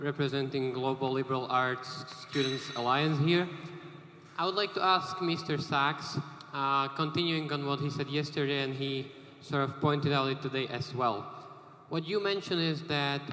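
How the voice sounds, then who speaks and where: At a moderate pace, a man talks at a fairly high pitch with ordinary pitch variation. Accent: Slovak. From Slovakia. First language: Slovak. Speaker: student audience member asking a question. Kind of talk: audience question at panel.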